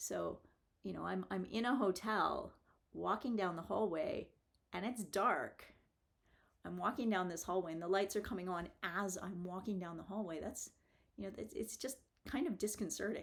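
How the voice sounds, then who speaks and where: A woman talks at a moderate pace with vocal fry and ordinary pitch variation. Her speech has long, frequent pauses. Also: medium pitch for a woman. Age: 50s. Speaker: vlogger and engineer. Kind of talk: casual vlog monologue. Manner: halting, many repeated words and fillers.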